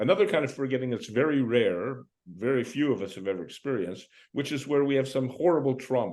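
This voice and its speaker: At a very fast pace, a man with a medium pitch talks with lively intonation. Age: 70s. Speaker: memory and mind coach. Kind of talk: interview conversation.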